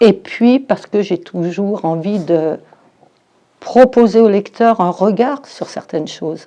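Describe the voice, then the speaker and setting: Speaking very slowly, a woman with a medium pitch and a dark, mellow tone shows ordinary pitch variation. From France, Forez (Loire). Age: 60s. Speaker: novelist, former teacher. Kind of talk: interview. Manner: hesitant, with fillers.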